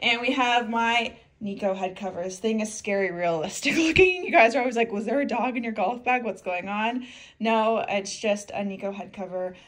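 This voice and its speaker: A woman speaks with lively intonation at a moderate pace. The background is quiet. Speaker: golf content creator. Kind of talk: casual vlog chat. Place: home room. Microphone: phone near.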